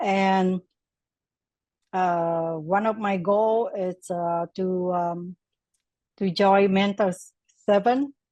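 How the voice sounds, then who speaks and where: A woman with a Vietnamese accent at a medium pitch, very slow, with long, frequent pauses and fairly even intonation, in a dry, close sound with no echo. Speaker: class participant. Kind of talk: casual testimony. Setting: video call. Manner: halting.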